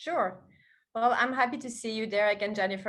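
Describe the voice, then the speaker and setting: A woman with a French accent speaks in a fairly high voice. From France. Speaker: foundation president, cancer research leader. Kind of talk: interview.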